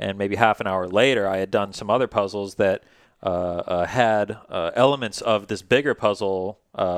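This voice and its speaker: A man uses an ordinary speaking voice at a fairly low pitch, with fairly even intonation and a moderate pace. The recording is very clean, dry and close, with a silent background and no echo. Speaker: podcast co-host.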